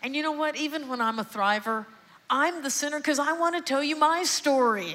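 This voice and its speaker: A woman with an American accent, animated in tone, with lively intonation. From Texas, Houston. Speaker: psychiatrist. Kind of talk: sermon-style testimony, evangelical preaching in full flow to a church congregation. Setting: church stage with congregation. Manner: animated, rising call-and-response cadence with rhetorical questions; emphatic repetition, building passion.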